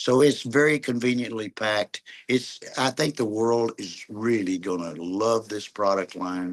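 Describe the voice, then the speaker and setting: In a dry, close recording with no echo and a quiet background, a man speaks at a fairly slow pace and medium pitch with ordinary pitch variation and hardly any pauses. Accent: American. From Oklahoma. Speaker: network marketing leader. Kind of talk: video call meeting talk.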